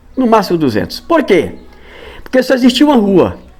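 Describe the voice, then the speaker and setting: A man's pitch swings very widely as he speaks over noticeable background noise. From Acre, Brazil (Porto Acre). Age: 60s. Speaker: local elderly resident. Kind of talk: interview, reminiscing. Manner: halting, with self-corrections.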